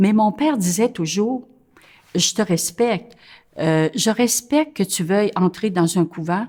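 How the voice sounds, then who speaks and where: Speaking very slowly, a woman at a medium pitch uses lively intonation in a dark, mellow tone. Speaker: nun. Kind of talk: interview testimony. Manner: hesitant, many filler sounds.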